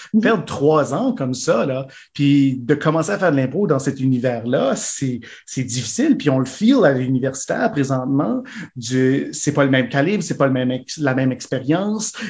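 Here a man speaks with a fairly high, somewhat breathy voice. His pace is moderate and his pitch variation ordinary. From Manitoba, Saint-Boniface. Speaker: improv actor. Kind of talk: casual interview.

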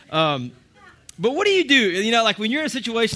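In a raised, projected voice, a man talks at a very fast pace with an animated tone. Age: 30s. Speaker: church teacher. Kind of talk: sermon.

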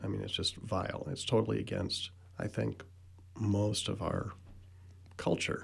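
A man with fairly low pitch and vocal fry talks at a fairly slow pace, his intonation fairly even, with long, frequent pauses. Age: 60s. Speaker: political activist. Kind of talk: radio panel discussion. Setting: radio studio.

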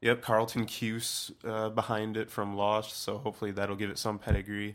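On a very clean recording with a silent background, a man with a fairly low pitch speaks at a moderate pace. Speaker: podcast panelist. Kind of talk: casual chat.

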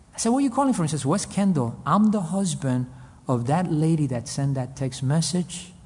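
With a Spanish accent, a man talks at a fairly quick pace in a fairly high pitch, his tone dark and mellow and his intonation lively. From Cuba, raised in US. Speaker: pastor. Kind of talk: sermon. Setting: men's conference.

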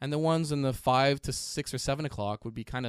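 A man with a normal speaking voice, ordinary pitch variation and a fairly quick pace. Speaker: podcast co-host. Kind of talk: casual explainer chat.

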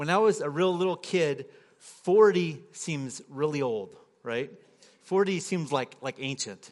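His is an unremarkable speaking voice, fairly high for a man, with lively intonation. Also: fairly slow pace. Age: 40s. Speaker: guest preacher. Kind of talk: sermon. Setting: church.

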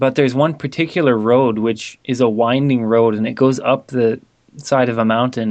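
In a Canadian accent, a man with a normal speaking voice and medium pitch talks at a moderate pace with fairly even intonation. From Vancouver, Canada. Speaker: native speaker in language-learning conversation. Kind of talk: casual chat.

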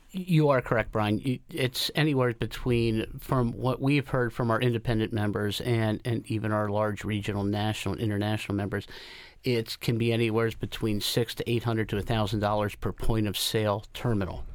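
Talking at a fairly quick pace with hardly any pauses, a man has a plain, everyday voice at medium pitch with fairly even intonation. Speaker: retail industry representative. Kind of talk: radio interview.

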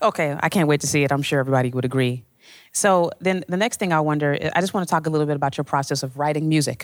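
On a very clean recording with a silent background, a woman with an American accent talks at a very fast pace in a very deep, low voice. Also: ordinary pitch variation. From Chicago. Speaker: music journalist interviewer. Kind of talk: onstage interview. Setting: stage with audience.

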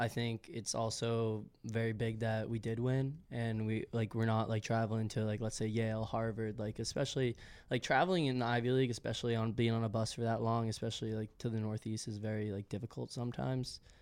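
With an American accent, a man speaks in an ordinary speaking voice at a medium pitch, fairly quick and with hardly any pauses, his intonation fairly even, on a very clean recording with a silent background. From Massachusetts, south of Boston. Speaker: college soccer player. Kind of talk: interview.

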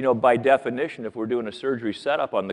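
Here a man with an American accent speaks at a medium pitch. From Iowa, US Midwest. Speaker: orthodontist. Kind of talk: lecture. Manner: animated.

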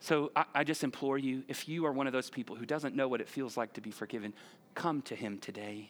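A man's medium-pitched, unremarkable speaking voice at a fairly quick pace, its pitch varying in an ordinary way. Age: 40s. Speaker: pastor. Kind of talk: sermon. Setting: church. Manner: conversational.

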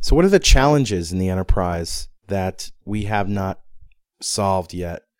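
Showing ordinary pitch variation, a man with a plain, everyday voice talks at a moderate pace and a fairly low pitch. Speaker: podcast co-host. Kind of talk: casual interview. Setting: hotel suite at a conference.

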